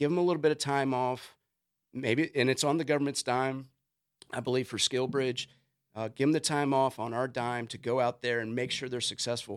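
In a plain, everyday voice with an American accent, someone speaks at a fairly quick pace with fairly even intonation on a very clean recording with a silent background. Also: man, medium pitch for a man. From US South, Richmond, Virginia. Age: 40s. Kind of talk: podcast interview. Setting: studio.

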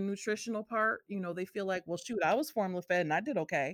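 In a dry, close sound with no echo, a woman at medium pitch speaks in an animated tone with an American accent. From Massachusetts, US. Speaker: breastfeeding support organization founder. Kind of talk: podcast interview.

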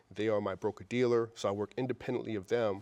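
A man with a New York accent speaks at a medium pitch in a flat monotone, the sound dry and close with no echo against a quiet background. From New York City (Queens). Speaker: wealth advisor and firm founder. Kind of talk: interview.

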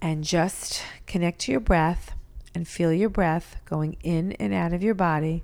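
A woman with an unremarkable speaking voice and an American accent, fairly low in pitch with ordinary pitch variation, at a fairly slow pace. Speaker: life coach and author. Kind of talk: guided meditation, leading a short mindfulness exercise. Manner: soft and measured, speaking directly to the listener.

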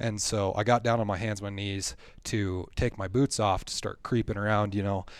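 On a very clean recording with a silent background, a man with an Upper Midwestern accent speaks at a moderate pace and fairly low pitch in a monotone, flat intonation. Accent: Upper Midwestern American. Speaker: hunter and membership staff. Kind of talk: casual storytelling interview. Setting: studio. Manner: halting, repeats words.

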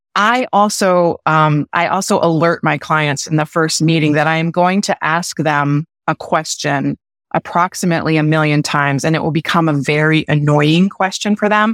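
Energetic yet very deep and low-pitched, a woman speaks at a moderate pace with ordinary pitch variation and very even loudness, the sound dry and close with no echo. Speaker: brand strategist. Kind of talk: interview. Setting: video call. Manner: hesitant fillers.

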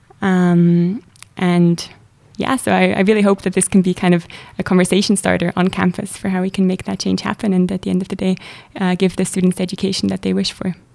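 A woman's medium-pitched voice with a German accent, dark and mellow in tone, fairly quick and monotone, flat in intonation. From Switzerland, Zurich. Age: 20s. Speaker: student leader. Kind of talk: interview.

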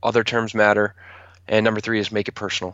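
His pitch sits fairly low. This man talks in an American accent. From Maryland, Calvert County. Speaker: realtor. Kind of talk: casual interview.

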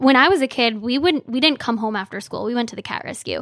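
Someone with an Upper Midwest accent talks at a very fast pace on a very clean recording with a silent background. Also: woman. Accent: Upper Midwest American. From Michigan, Frankenmuth. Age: 20s. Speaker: cat rescue worker. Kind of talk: casual interview.

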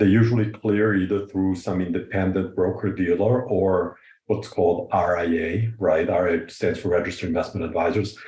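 A man's very deep, low voice, dark and mellow, somewhat breathy, at a moderate pace with hardly any pauses and very even loudness. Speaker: financial advisor. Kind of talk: casual interview.

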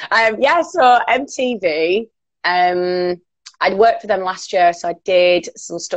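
A woman with a Cumbrian accent, medium in pitch with ordinary pitch variation, at a very slow pace. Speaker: radio presenter and DJ. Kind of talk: casual chat. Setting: video call.

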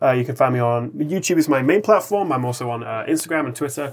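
With an English accent, a man speaks at a fairly quick pace with lively intonation. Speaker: tech YouTuber. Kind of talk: casual chat.

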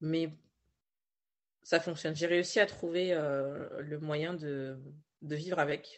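Speech comes at a very slow pace, broken by long, frequent pauses, with intonation that stays fairly even. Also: woman, very deep, low pitch for a woman. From Paris region, France. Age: 20s. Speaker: novelist and writing coach. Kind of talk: interview. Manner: hesitant, with fillers and repetitions.

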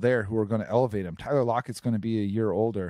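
The recording is very clean, with a silent background and a dry, close sound with no echo. A man talks at a very fast pace. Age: 30s. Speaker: sports podcast host. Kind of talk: casual chat. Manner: animated.

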